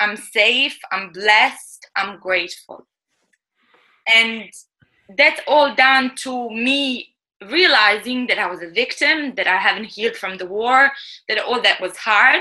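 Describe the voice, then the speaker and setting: Speaking at a fairly slow pace with a non-native accent, a woman uses a fairly high pitch and ordinary pitch variation. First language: not English. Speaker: chef and author. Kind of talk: interview.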